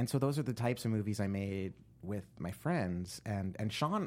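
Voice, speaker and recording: With an American accent, a man speaks in an ordinary speaking voice, fairly low in pitch, with lively intonation. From New Jersey. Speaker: screenwriter and producer. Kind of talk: interview.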